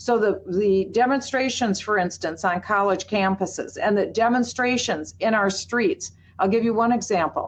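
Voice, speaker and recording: A woman speaks at a moderate pace in an Upper Midwest accent, her medium pitch showing ordinary variation, her loudness very even, with hardly any pauses over a quiet background. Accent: Upper Midwest American. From US Midwest, Minneapolis, Minnesota. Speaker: pro-Israel advocate. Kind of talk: webinar presentation.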